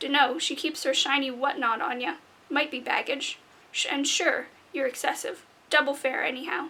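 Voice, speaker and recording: A woman uses a put-on character voice that is growling and gruff. She speaks at a moderate pace in a high voice with ordinary pitch variation. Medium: read story. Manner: gruff, growling.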